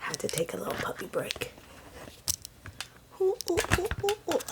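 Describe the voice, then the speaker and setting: A woman talks at a moderate pace with long, frequent pauses, and background noise is noticeable. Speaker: writing vlogger. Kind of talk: casual write-along vlog. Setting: home, early morning. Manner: soft-spoken.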